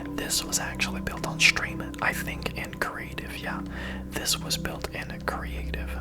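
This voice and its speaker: Someone whispers at a moderate pace over music in the background. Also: man. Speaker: ASMR content creator and Minecraft streamer. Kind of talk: casual talk to camera, ASMR gameplay narration. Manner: whispered, soft-spoken.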